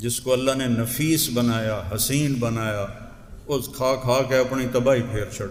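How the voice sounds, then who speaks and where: A man talks in a mid-range pitch. The intonation holds fairly even throughout. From Pakistan. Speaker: Islamic scholar and preacher. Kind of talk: religious sermon. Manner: emotional.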